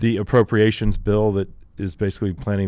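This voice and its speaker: In a Texan accent, a man speaks with monotone, flat intonation. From Texas. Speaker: outdoor show host. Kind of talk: casual chat. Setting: studio.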